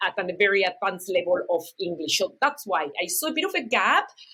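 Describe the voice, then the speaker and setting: A woman with a non-native accent speaks at a moderate pace in a bright, sharp tone. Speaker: university program manager, interpreter trainer. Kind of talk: podcast interview.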